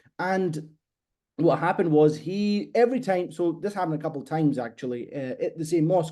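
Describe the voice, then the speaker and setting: A man with a Scottish accent, fairly high in pitch, at a moderate pace over a quiet background. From Scotland. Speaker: copywriter. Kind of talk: podcast interview.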